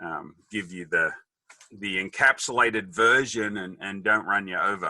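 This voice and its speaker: In an Australian accent, a man speaks with a dry, close sound that has no echo. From Australia, Sydney then rural New South Wales. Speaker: businessman. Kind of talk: interview storytelling. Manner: quick, witty quips.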